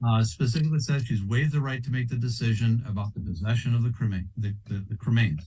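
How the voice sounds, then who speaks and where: Very fast with hardly any pauses, a man at medium pitch speaks with a dark, mellow tone, a somewhat breathy quality, and ordinary pitch variation. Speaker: lawyer. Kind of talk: courtroom argument. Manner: hesitant, halting.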